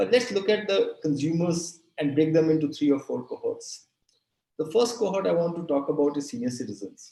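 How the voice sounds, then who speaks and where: A man's dark, mellow tone, fairly high in pitch, fairly quick and lively in intonation. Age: 60s. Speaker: retail industry expert. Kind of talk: talk in a webinar session.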